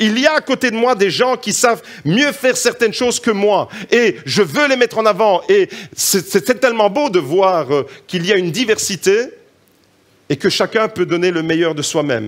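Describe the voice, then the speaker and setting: With a slight Italian accent, a man speaks at a moderate pace in a high pitch, with an animated tone and lively intonation. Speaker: preacher. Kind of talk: sermon.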